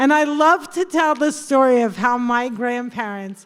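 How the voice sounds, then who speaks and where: On a very clean recording with a silent background, a woman with a New Jersey accent speaks at a high pitch. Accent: New Jersey American. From New Jersey, US. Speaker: comedian. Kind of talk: stand-up. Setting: stage with audience.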